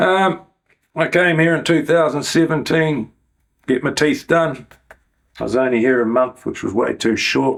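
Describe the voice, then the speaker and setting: With a New Zealand accent, a man speaks at a fairly slow pace with long, frequent pauses, his fairly high pitch showing ordinary variation. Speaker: YouTuber. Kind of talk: interview.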